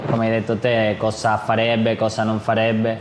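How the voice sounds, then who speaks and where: Against noticeable background noise, a man speaks with a non-native accent. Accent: non-native Italian speaker. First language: Spanish (speaking Italian). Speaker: Muay Thai fighter and event promoter. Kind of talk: casual interview chat. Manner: halting.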